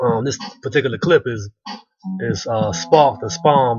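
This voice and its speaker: With music in the background, a man talks at a fairly quick pace and with ordinary pitch variation. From Chicago South Side. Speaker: video blogger. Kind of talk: casual vlog response. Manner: fast; casual, many fillers. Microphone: cheap webcam mic, sitting close.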